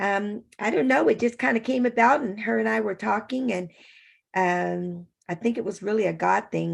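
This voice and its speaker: A woman with an American accent at a moderate pace, with very wide pitch swings. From California. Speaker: children's author, Air Force veteran. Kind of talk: interview conversation. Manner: halting, many fillers.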